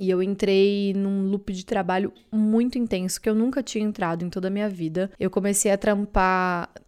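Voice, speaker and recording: A woman with a Brazilian accent, medium-pitched, at a moderate pace with fairly even intonation and hardly any pauses, on a very clean recording with a silent background. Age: 20s. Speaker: content creator and podcaster. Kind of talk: casual solo monologue.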